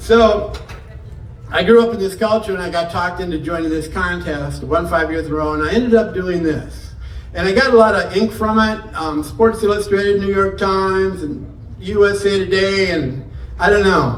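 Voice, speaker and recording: A man with an American accent speaks in an animated tone at a high pitch, with audible room echo and noticeable background noise. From northern Michigan, US. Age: 70s. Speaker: morel hunting expert. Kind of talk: seminar talk. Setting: indoor venue with live audience.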